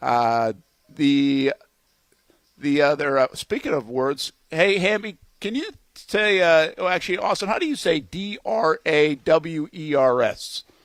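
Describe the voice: In a Rhode Island accent, a man speaks at a fairly high pitch with lively intonation, in dry, close sound with no echo. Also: fairly slow pace.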